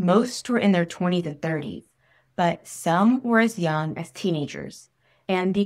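Speech comes at a moderate pace with ordinary pitch variation. The background is quiet. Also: woman. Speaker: podcast host. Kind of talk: storytelling narration. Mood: calm, serious. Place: home room. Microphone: studio mic.

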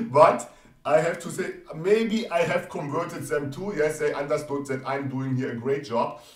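A man's fairly high voice with a non-native accent, ordinary pitch variation, and noticeable background noise. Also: moderate pace. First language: not English. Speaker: trading educator. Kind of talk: tutorial. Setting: screen-share video on live chart. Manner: repeats 'yes' often, explanatory.

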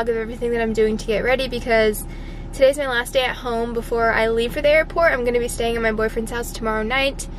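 A woman's high-pitched voice comes through dry with no echo, with light background noise. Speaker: vlogger. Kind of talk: casual vlog chat. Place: car. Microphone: phone near.

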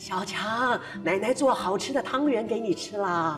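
Over clear background noise, a man uses a put-on character voice at a high pitch. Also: moderate pace. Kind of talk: warm, affectionate.

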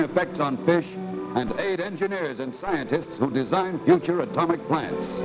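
A man with an American accent at a moderate pace, high in pitch with lively intonation, and music in the background. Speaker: newsreel narrator. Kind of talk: 1950s newsreel narration.

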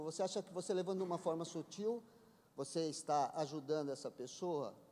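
A man talks at a fairly quick pace in a high voice with ordinary pitch variation. His tone is dark and mellow. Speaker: church member. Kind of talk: group discussion question. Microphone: podium.

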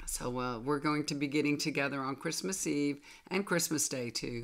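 Speaking at a moderate pace, a woman has a low pitch and ordinary pitch variation.

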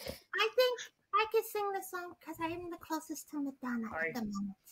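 A female-sounding cartoonish character voice pitched extremely high, with very wide pitch swings. The pace is fairly quick. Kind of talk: comic puppet overacting. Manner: theatrical, vain, flirtatious.

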